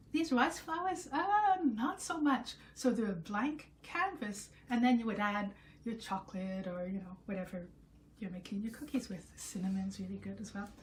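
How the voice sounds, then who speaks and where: A woman with a fairly high pitch speaks at a moderate pace, her pitch swinging very widely. Her voice is somewhat breathy, with big swings in loudness. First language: French. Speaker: home cooking video host. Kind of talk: casual talk to camera. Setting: home kitchen. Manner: casual, with many fillers and self-corrections.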